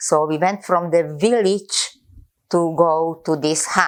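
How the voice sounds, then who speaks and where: Someone speaks at a very slow pace. The recording is very clean, with a silent background. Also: woman. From Czechoslovakia. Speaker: Holocaust survivor. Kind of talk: interview answer.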